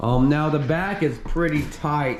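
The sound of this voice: At a fairly slow pace, a man talks in a fairly high voice. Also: ordinary pitch variation.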